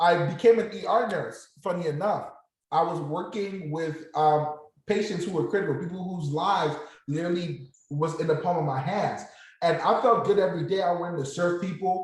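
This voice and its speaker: With a slight Nigerian accent, the speaker keeps a moderate pace and ordinary pitch variation amid audible room echo. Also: man, high pitch for a man. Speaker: former nurse turned options trader. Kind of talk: motivational talk to online group.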